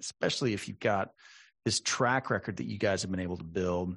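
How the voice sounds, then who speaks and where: A man with an American accent has an ordinary speaking voice with ordinary pitch variation. He talks at a fairly quick pace against a quiet background. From Texas, San Antonio. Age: 40s. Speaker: podcast host. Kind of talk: interview.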